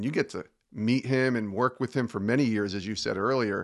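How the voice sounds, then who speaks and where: Talking at a fairly quick pace, a man has a normal speaking voice, medium in pitch, with ordinary pitch variation. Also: quiet background. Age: 50s. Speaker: podcast host. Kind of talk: interview.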